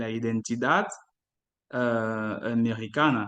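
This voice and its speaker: The speaker is male. His accent is French. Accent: French-speaking non-native Spanish. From Ivory Coast. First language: French (speaking Spanish). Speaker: doctoral researcher in literature. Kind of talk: academic talk. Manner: halting, many fillers.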